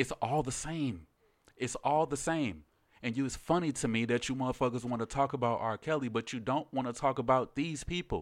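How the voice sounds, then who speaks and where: Animated in tone, a man with a medium pitch talks at a fairly quick pace with ordinary pitch variation in a very clean recording over a silent background. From US, DMV area, Chicago and Louisiana. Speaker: podcast guest. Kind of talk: casual chat.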